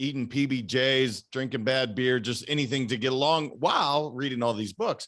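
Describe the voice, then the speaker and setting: A man with an American accent speaks at a moderate pace in a plain, everyday voice, medium in pitch, with fairly even intonation and hardly any pauses. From Idaho and Montana, US. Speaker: performance coach. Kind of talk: casual chat.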